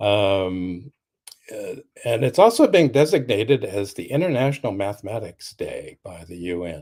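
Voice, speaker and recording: A man speaks with an American accent and ordinary pitch variation. The recording is very clean and the background silent. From Sacramento, California. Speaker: romance author. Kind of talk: casual chat. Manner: halting.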